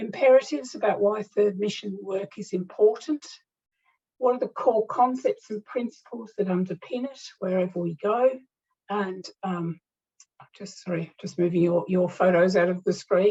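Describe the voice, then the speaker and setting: A somewhat breathy, dark, mellow voice with big swings in loudness. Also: woman. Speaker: higher education consultant. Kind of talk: lecture. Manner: fast; halting.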